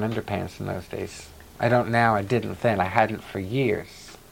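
A man's unremarkable speaking voice at medium pitch and a moderate pace. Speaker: activist interviewee recounting life history. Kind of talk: interview recollection, conversational.

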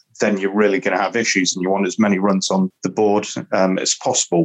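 This man has a fairly low pitch. He speaks with a northern English accent. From northern England. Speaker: cricket pundit. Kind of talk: casual chat.

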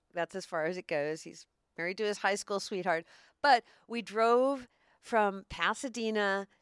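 Using a normal speaking voice, a woman talks at a fairly slow pace with ordinary pitch variation on a very clean recording with a silent background. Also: dry, close sound with no echo. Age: 60s. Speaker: broadcaster and triathlete. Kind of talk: casual chat. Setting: in-person recording.

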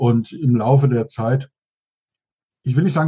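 A man's fairly high, somewhat breathy voice with a dark, mellow tone, at a moderate pace. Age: 60s. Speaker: business mentor and consultant. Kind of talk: interview.

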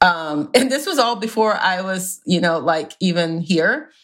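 An unremarkable speaking voice, a woman with an American accent talks at a fairly slow pace with ordinary pitch variation in a very clean recording with a silent background. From US South. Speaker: romance author. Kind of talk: casual chat.

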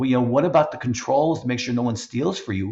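A man speaks in a somewhat breathy voice. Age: 50s. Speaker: podcast host and business owner. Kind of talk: casual interview conversation.

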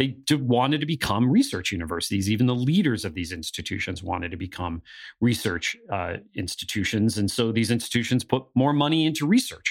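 A man with an American accent talks at a fairly quick pace, in a medium pitch and a normal speaking voice, with lively intonation. The recording is very clean, with a silent background. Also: hardly any pauses. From northeastern Pennsylvania. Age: 40s. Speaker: podcast co-host on higher education. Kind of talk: podcast discussion with scripted segments.

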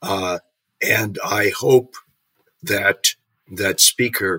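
The sound is dry and close, with no echo. The voice belongs to a man. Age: 70s. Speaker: policy scholar and commentator. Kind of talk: political roundtable discussion. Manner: formal.

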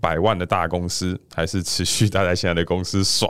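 A man speaks at a moderate pace with a very deep, low pitch. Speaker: podcast co-host, actuary. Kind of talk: casual chat.

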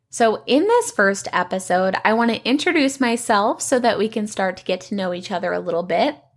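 At a fairly quick pace, a woman talks at a medium pitch with lively intonation.

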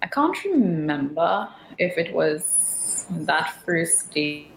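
A woman speaks at a fairly low pitch with ordinary pitch variation. Noticeable background noise runs underneath. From Trinidad. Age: 40s. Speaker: media communications specialist. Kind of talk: interview.

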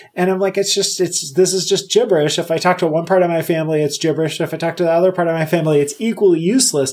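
A man with a high voice talks very fast in a fairly even intonation over noticeable background noise. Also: hardly any pauses. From Puerto Rico. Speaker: engineering director. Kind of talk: interview.

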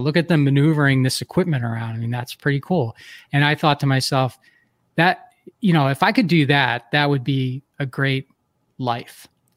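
In a plain, everyday voice, a man with an American accent speaks at a moderate pace and fairly high pitch, the sound dry and close with no echo. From US Northeast, Philadelphia. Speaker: entrepreneur and podcast host. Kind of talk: interview.

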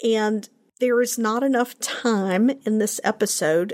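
A woman with an ordinary speaking voice, fairly high pitch and a fairly slow pace, dry and close with no echo. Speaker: podcast host. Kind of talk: solo podcast monologue, unscripted.

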